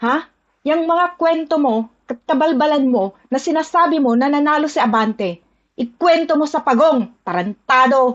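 With lively intonation and a high pitch, a woman speaks rather slowly. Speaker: OFW ranting about politics. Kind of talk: angry rant. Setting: video rant from Hong Kong. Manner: furious, cursing, shouting.

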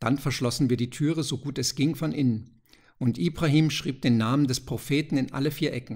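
A man speaks in a dramatic tone with a somewhat breathy voice. His intonation stays fairly even. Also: medium pitch for a man. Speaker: audiobook narrator. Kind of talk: ghost story reading aloud, tense narration. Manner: hushed, suspenseful, slow and deliberate; dramatic, building tension toward the door flying open.

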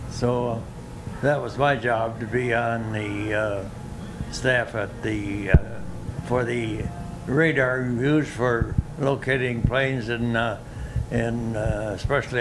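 There is noticeable noise in the background. A man talks at a medium pitch with fairly even intonation. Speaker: WWII veteran. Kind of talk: elder life story, recounting wartime memories in a plain, reflective way. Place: gym. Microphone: handheld.

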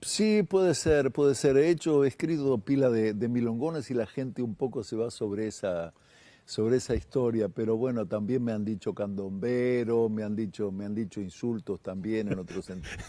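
With a Uruguayan accent, the voice has a dark, mellow tone and a moderate pace with hardly any pauses. The sound is dry, with no echo. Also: man, ordinary pitch variation. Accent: Rioplatense Spanish (Uruguayan). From Uruguay, Montevideo. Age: 60s. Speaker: singer-songwriter and guitarist; guest. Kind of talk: casual TV interview. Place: studio. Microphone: lapel.

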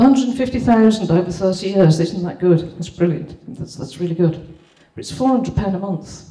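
A woman with a Birmingham accent speaks with ordinary pitch variation in a quiet background with audible room echo. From Birmingham, England. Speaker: property investor. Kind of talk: testimonial presentation. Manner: halting. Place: hall.

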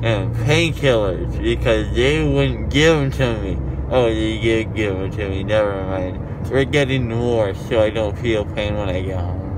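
Noticeable background noise sits behind this recording. A man speaks at a fairly slow pace. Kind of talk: casual vlog chat. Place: car. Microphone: phone near.

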